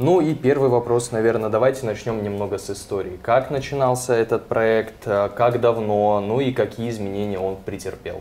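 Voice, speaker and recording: Hardly pausing, a man speaks at a moderate pace in a dark, mellow tone with ordinary pitch variation. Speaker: TV presenter. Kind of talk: TV talk show. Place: studio. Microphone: lapel.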